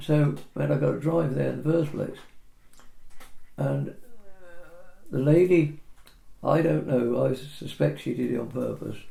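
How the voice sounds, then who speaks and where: In an English accent, a man speaks fairly slowly with long, frequent pauses, and room echo is audible. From England. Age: 80s+. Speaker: property surveyor. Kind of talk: casual chat.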